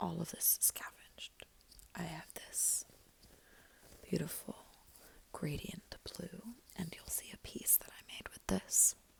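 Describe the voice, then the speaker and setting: Whispering comes at a very slow pace. Long, frequent pauses break it up. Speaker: beginner knitter, ASMR creator. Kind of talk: ASMR soft-spoken whispered talk to camera. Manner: soft-spoken, whispered.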